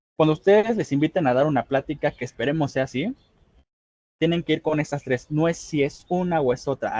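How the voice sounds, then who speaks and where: Dry and close with no echo, the voice has a dark, mellow tone, sounds somewhat breathy, and moves at a fairly quick pace with ordinary pitch variation. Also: man. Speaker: public speaking trainer. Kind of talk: online workshop lecture. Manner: fast.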